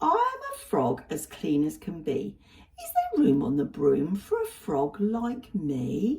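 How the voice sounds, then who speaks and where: Putting on a croaky character voice, a woman speaks at a medium pitch and a fairly slow pace. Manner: polite, pleading.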